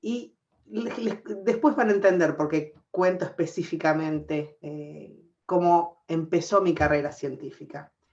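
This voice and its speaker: Here a woman speaks with an Argentine accent at a fairly low pitch. Her pace is fairly slow, with big swings in loudness. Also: ordinary pitch variation. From Argentina. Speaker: scientist, professor. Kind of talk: panel discussion.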